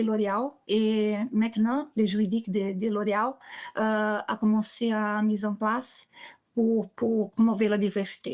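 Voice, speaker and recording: A woman's fairly high pitch at a fairly slow pace, with monotone, flat intonation. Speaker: corporate lawyer. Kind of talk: webinar presentation. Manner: halting, many repetitions and fillers.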